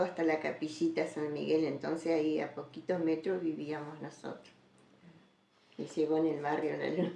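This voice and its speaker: With an Argentine Litoral accent, a woman speaks in a very deep, low pitch. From Argentina, Entre Ríos (Federación). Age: 70s. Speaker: interviewee recounting her life. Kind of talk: oral history interview.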